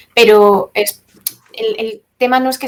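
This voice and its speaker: A woman's fairly high-pitched voice in a flat monotone. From Spain, Castilla-La Mancha. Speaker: environmental activist. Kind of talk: talk with Q&A.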